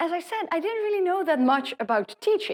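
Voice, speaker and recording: A woman with a Dutch accent speaks with very wide pitch swings. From Netherlands. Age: 40s. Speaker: professor. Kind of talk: lecture.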